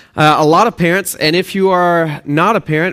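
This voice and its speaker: Here a man talks at a moderate pace in a Texan accent. The recording is very clean, with a silent background. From Texas/Oklahoma. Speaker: pastor. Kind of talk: sermon.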